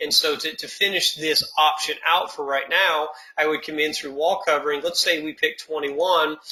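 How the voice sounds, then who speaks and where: A man talks in a fairly high voice with fairly even intonation. Background noise is noticeable behind him. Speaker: software trainer. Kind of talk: tutorial. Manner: fast; filler-heavy, repetitive stammering.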